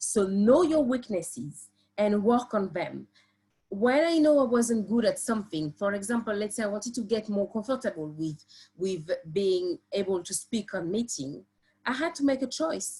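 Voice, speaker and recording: With a French accent, a woman speaks at a moderate pace in a fairly high pitch, her tone dark and mellow, somewhat breathy, with very wide pitch swings. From France. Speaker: construction professional and PhD student. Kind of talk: presentation on a live webinar. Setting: live online stream. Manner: hesitant, many fillers.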